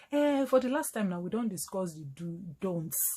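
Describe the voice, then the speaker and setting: This woman's voice sits at a medium pitch. It is somewhat breathy. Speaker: doctor. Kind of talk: health education talk to camera in Nigerian Pidgin.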